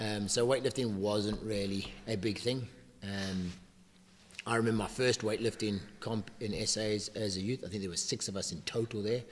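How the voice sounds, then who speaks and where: A man talks at a moderate pace in a fairly low voice. His intonation stays fairly even. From South Africa. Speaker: weightlifting coach. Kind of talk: casual chat.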